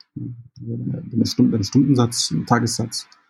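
A man talks in a somewhat breathy voice. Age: 30s. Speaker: concept artist. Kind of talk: interview. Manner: hesitant, many fillers.

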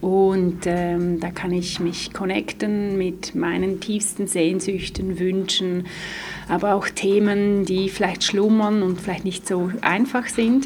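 Amid noticeable background noise and audible room echo, a woman talks very slowly with fairly even intonation. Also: medium pitch for a woman. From Switzerland, Graubünden. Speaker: dance therapist. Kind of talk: interview. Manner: hesitant fillers.

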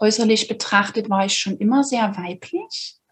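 Somewhat breathy, a woman speaks in a fairly high pitch. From Saxony, Dresden. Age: 30s. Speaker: podcast guest sharing personal story. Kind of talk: personal testimony in interview. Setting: video recording.

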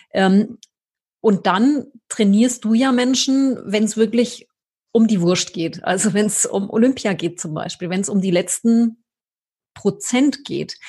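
Speaking at a very slow pace with long, frequent pauses, a woman has a fairly high pitch, ordinary pitch variation and a dark, mellow tone. Her voice is somewhat breathy, and the background is quiet. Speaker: podcast host, marketing specialist. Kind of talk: interview conversation. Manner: scripted intro and outro delivery.

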